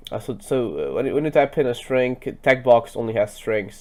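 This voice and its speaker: The words come at a moderate pace. A non-native accent is heard throughout. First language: not English. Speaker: programming tutor. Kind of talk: screen-recorded coding tutorial. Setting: screen recording at computer. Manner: halting, many fillers.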